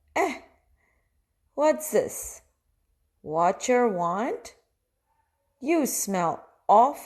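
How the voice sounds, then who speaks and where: A woman puts on a whiny character voice at a high pitch, speaking at a very slow pace with long, frequent pauses. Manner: whiny, grumpy.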